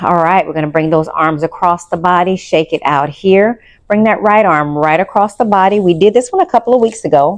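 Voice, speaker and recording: In an unremarkable speaking voice, a woman of medium pitch talks at a fairly quick pace with ordinary pitch variation. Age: 50s. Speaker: pilates instructor. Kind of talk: guided exercise class. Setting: studio. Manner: calm, instructive.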